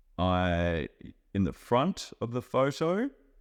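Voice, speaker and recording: A man with an Australian accent on a very clean recording with a silent background. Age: 30s. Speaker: chef and traveller. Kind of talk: interview for English learners.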